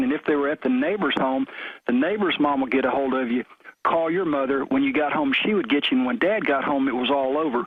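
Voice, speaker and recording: Ordinary pitch variation at a fairly quick pace, in a Southern US accent. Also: man. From US South, Memphis, Tennessee. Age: 50s. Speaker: caller. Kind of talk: radio call-in.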